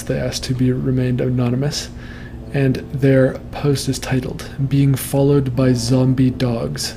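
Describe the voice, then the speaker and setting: Over noticeable background noise, a man with a medium pitch speaks in a flat monotone at a fairly slow pace. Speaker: podcast host. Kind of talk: casual interview chat and reading nightmares aloud. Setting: livestream broadcast.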